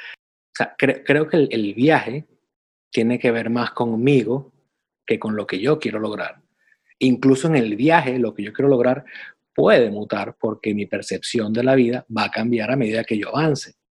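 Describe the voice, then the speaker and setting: Speaking at a moderate pace, a man has an unremarkable speaking voice with medium pitch and ordinary pitch variation. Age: 40s. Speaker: podcast co-host, personal development coach. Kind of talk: casual chat.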